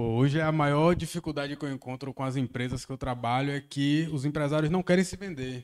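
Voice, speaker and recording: Speech moves at a fairly quick pace with ordinary pitch variation. The background is quiet. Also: man. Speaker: business consultant. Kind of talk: casual group chat. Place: meeting room. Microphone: handheld.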